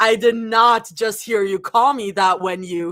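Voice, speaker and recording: This is a put-on character voice, growling at a fairly high pitch and moving at a fairly slow pace. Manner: snarling, offended.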